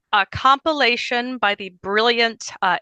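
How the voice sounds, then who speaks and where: Quiet background behind a woman with an American accent, her tone bright and sharp, ordinary in pitch variation, dry and close with no echo. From Virginia, near Richmond. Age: 40s. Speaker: living history performer. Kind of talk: interview.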